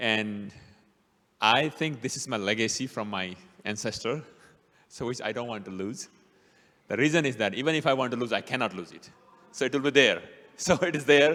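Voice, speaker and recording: A man in a strong Bhutanese accent, medium in pitch with a bright, sharp tone, at a fairly quick pace with long, frequent pauses and big swings in loudness. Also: ordinary pitch variation. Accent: strong Nepali-Bhutanese. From Bhutan, Nepali ethnicity. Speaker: city councilman, guest speaker. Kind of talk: talk to a church audience. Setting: church hall with small audience.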